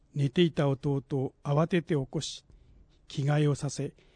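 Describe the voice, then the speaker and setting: At a fairly slow pace, a man speaks with a fairly high pitch and fairly even intonation, somewhat breathy. The sound is dry and close, with no echo. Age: 60s. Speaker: essay contest winner. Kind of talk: reading aloud.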